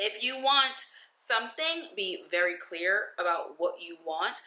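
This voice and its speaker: An animated woman with a New York accent. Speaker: lifestyle vlogger. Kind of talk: advice vlog.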